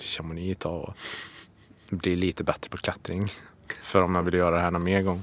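A man's very deep, low voice with monotone, flat intonation. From Värmland, Sweden (Hammarö, near Karlstad). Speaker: extreme skier. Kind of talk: interview.

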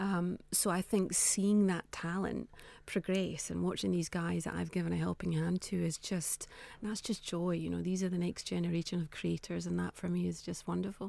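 A woman speaks with a Scottish accent. The recording is very clean, with a silent background. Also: moderate pace. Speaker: fashion entrepreneur. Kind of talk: radio interview.

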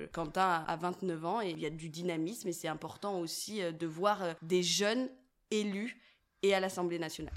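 A woman speaks at a fairly slow pace in a normal speaking voice, fairly low in pitch with ordinary variation. The recording is very clean with a silent background. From France, Loire (Saint-Étienne). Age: 20s. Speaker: youth political coordinator. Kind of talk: interview.

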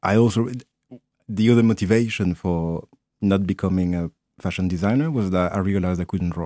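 In a French accent, a man with a very deep, low pitch and a dark, mellow tone talks at a fairly quick pace with long, frequent pauses and ordinary pitch variation, in a dry, close sound with no echo. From Martinique and Paris. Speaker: photographer and clothing designer. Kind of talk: interview.

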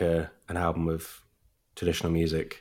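A voice with a southern English accent comes through in a very clean recording with a silent background. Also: man. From Brighton, southern England. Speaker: flute player and folk music author. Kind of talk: casual interview chat.

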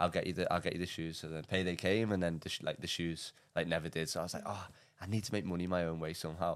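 Very deep and low, a man's voice races along at a very fast pace with an English accent. The recording is very clean, with a silent background. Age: 20s. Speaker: entrepreneur. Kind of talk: casual chat. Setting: studio. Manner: animated.

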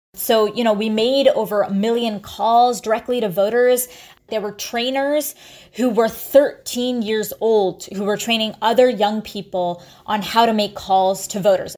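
At a moderate pace, a woman with an unremarkable speaking voice talks at a fairly high pitch with fairly even intonation. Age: 20s. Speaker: youth climate activist leader. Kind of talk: interview.

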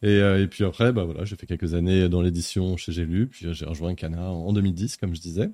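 On a very clean recording with a silent background, a man speaks at a fairly quick pace with a very deep, low pitch. His tone is dark and mellow, his intonation fairly even. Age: 40s. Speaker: publishing marketing director. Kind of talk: live-streamed interview.

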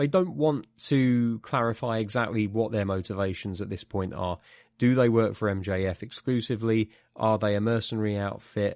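In a very clean recording with a silent background, a man speaks with a British accent. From UK. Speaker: podcast host. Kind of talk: casual chat.

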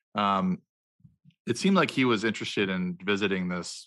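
Against a quiet background, a man with an American accent speaks at a moderate pace in a fairly low pitch, his tone bright and sharp and his pitch variation ordinary. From United States. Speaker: co-host music fan. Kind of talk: casual podcast discussion. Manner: halting, filler-heavy.

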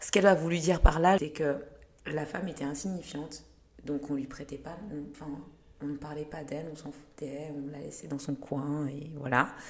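A woman's very deep, low voice at a moderate pace, fairly even in intonation, with big swings in loudness and long, frequent pauses. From Lyon, France (born in Rwanda, arrived age 8). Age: 30s. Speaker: model and activist. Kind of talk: casual interview. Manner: talkative.

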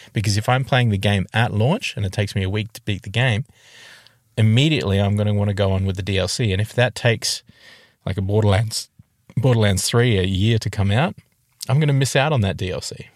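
A man speaks very fast with an Australian accent, his fairly low voice moving with ordinary pitch variation over a very clean recording with a silent background. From Tasmania, Australia. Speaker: podcast co-host. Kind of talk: casual chat. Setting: in a car.

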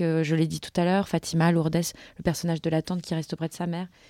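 On a very clean recording with a silent background, a woman speaks in a fairly low pitch with a dark, mellow tone. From Paris suburbs, France (Montreuil), Portuguese parents. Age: 30s. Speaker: film director. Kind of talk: interview. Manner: halting.

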